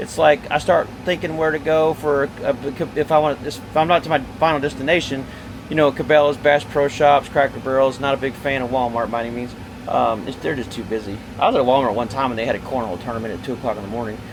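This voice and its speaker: Speaking at a very fast pace, a man with a fairly high pitch uses ordinary pitch variation over noticeable background noise. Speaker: RV salesman. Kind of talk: product walkthrough.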